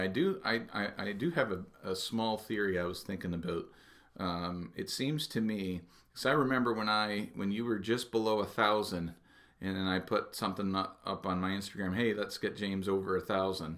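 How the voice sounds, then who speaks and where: Using an ordinary speaking voice at a fairly low pitch, a man with a Canadian accent talks at a moderate pace with ordinary pitch variation. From Canada. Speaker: watch YouTuber, interview host. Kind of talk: casual chat.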